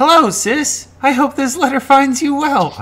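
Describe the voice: A man uses a put-on character voice pitched extremely high. He talks at a moderate pace.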